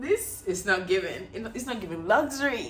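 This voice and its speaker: A woman speaks with very wide pitch swings. Audible room echo surrounds her voice. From Equatorial Guinea. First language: Spanish. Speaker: beauty vlogger. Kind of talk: casual chat. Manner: animated.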